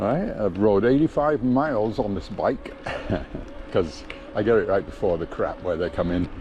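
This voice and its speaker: A man speaks at a moderate pace with a fairly low pitch and lively intonation over noticeable background noise. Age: 70s. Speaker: vlogger. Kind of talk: casual vlog narration while riding. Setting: outdoors on a bike trail. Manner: casual, halting with fillers.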